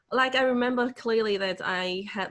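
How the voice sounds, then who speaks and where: Speaking with a Hong Kong accent, a woman uses a fairly high pitch and lively intonation. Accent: Hong Kong Cantonese accent in English. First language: Cantonese. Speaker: motivational speaker. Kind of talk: webinar Q&A answer.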